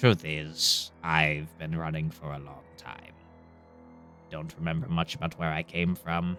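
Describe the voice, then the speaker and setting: A man puts on a character voice with a very deep, low pitch. He speaks at a fairly slow pace, with faint music in the background. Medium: actual play. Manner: laconic, plainspoken.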